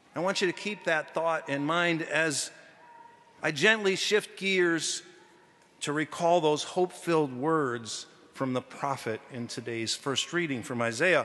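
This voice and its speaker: A man speaks at a fairly slow pace. His pitch variation is ordinary. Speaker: deacon preaching. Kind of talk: sermon. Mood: earnest, reflective. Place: church. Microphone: podium.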